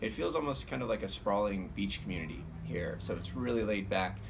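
A man's fairly low voice at a fairly quick clip, with noticeable background noise. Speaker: musician vlogger. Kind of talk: casual vlog chat. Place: garden. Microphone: phone near.

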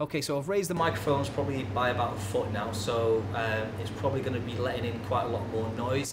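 A man rushes along at a very fast pace while background noise is clearly heard. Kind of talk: casual tutorial commentary. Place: bar.

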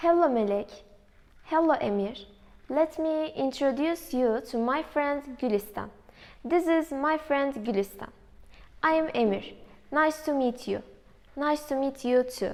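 A woman talks in a high pitch at a very slow pace, with ordinary pitch variation. Her speech has long, frequent pauses. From Turkey. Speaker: university student; presenter. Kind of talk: reading aloud. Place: classroom. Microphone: camera far.

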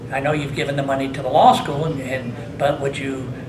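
A man speaks with an American accent. Noticeable background noise is present. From US Midwest (Indiana). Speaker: hall of fame inductee, former baseball player. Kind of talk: interview. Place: meeting room.

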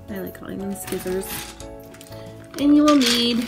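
Clear music behind a woman's voice. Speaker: makerspace instructor. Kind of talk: tutorial. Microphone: phone near.

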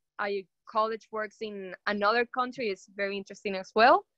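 A woman's fairly high, bright, sharp voice at a moderate pace, with ordinary pitch variation, a dry sound with no echo and a quiet background. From Venezuela. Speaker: business school alumna; panelist. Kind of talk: panel Q&A. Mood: friendly, upbeat. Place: home room. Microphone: video call.

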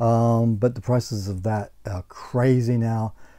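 A man speaks with an Australian accent in a dark, mellow tone. The background is quiet. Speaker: gaming YouTuber; gaming channel host. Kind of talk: casual vlog monologue. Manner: halting, with frequent repetitions. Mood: annoyed about bad purchase. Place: home room.

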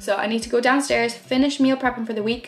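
Very fast speech with fairly even intonation over faint background music. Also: woman. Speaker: fitness vlogger. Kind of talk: casual vlog chat. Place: home room. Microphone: phone near.

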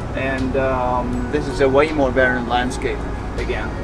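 A man's voice comes through with music behind it. The audio is dry and free of echo. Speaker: van-life travel vlogger. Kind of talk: casual vlog chat. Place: car. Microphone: camera far.

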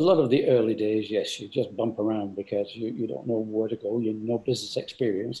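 This man has a dark, mellow tone and ordinary pitch variation. He talks at a very fast pace with hardly any pauses. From England. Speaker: company founder; guest. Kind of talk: interview. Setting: video call. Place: home room. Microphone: video call.

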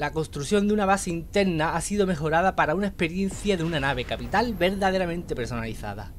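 A high-pitched man at a very fast pace, lively in intonation, with hardly any pauses. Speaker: gaming youtuber. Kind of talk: scripted narration.

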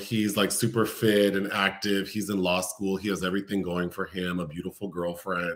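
A man speaks at a fairly low pitch. His pace is moderate, and the background is quiet. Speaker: film reviewer host. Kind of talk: casual plot summary commentary. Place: home room. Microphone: webcam.

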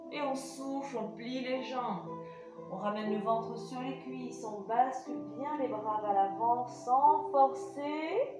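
A woman speaks at a very slow pace with big swings in loudness, clear music playing behind her and audible room echo. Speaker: pilates instructor. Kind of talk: exercise class instruction. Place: home room. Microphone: camera far.

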